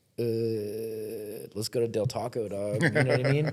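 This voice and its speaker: A man in an American accent talks with a mid-range pitch. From Southern California (Riverside). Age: 20s. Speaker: barber and motorcycle racer. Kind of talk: casual chat. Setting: at a race track. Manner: animated.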